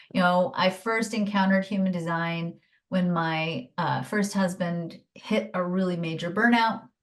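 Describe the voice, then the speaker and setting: A woman with a normal speaking voice talks at a fairly slow pace in a medium pitch. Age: 50s. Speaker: human design teacher and former nurse. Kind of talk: interview.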